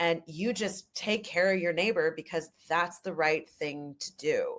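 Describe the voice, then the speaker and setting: A fairly low-pitched woman in a Canadian accent. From Canada, Ojibwe First Nation heritage. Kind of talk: podcast interview. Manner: loud; animated.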